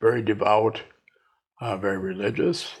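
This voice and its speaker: A man speaks with an American accent at a fairly slow pace. His voice is somewhat breathy. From US Midwest, northern Wisconsin. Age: 90s. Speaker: retired inventor and entrepreneur. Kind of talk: interview. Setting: at his home.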